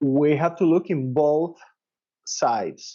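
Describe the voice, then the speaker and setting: A man with a Spanish accent speaks at a very slow pace. His voice is fairly high in pitch, with a dark, mellow tone. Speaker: dentist and professor. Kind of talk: interview. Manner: halting.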